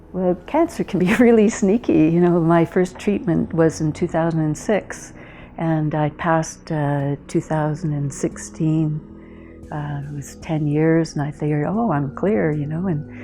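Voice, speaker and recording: A woman with a Canadian accent speaks at a fairly slow pace, her pitch very deep and low with ordinary variation. Music plays in the background. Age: 60s. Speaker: cancer survivor, retired anthropologist. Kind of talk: testimony. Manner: hesitant, with many fillers.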